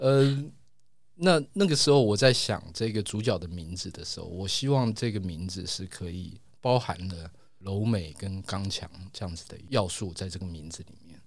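A man speaks at a fairly low pitch with ordinary pitch variation. His loudness swings widely. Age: 50s. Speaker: comic artist. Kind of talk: interview. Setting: studio. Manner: slow, deliberate; reserved, quiet.

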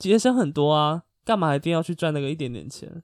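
A man with a plain, everyday voice speaks fairly quickly at a fairly high pitch with lively intonation. The recording is very clean and dry, close-miked with no echo and a silent background. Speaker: podcast co-host. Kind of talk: casual chat.

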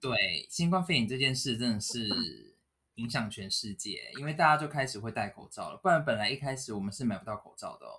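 A man speaks at a fairly quick pace, his loudness swinging widely. His tone is bright and sharp, with lively intonation. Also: medium pitch for a man. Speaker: podcast co-host. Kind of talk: casual chat. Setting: home room without air conditioning.

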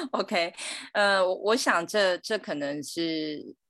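A woman's speech, with ordinary pitch variation, proceeds at a moderate pace over a quiet background. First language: Mandarin Chinese. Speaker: guest. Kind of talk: casual chat.

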